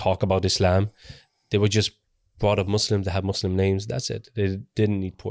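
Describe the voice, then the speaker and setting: A man speaks at a moderate pace in a fairly low pitch with monotone, flat intonation. The recording is very clean, with a silent background and a dry, close sound with no echo. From Sweden, small town. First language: sign language. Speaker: convert telling his story. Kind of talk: testimony. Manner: halting.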